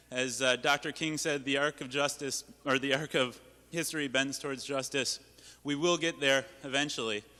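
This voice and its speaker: Loud and fairly quick, a man speaks in a fairly high, bright, sharp voice with fairly even intonation. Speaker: panelist, activist. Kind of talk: town hall panel remarks.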